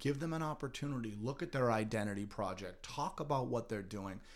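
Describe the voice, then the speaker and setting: Medium pitch from a man with an American accent, an ordinary speaking voice, and lively intonation. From Massachusetts, North Andover. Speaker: middle school teacher. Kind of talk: podcast interview.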